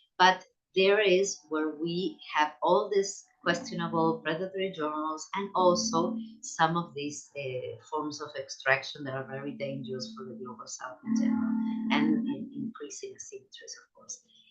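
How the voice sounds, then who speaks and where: Music plays in the background as a woman talks at a moderate pace, her pitch swinging very widely and her loudness shifting a lot. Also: medium pitch for a woman. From Latin America. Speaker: sociologist of science. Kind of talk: academic lecture. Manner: halting, many repetitions.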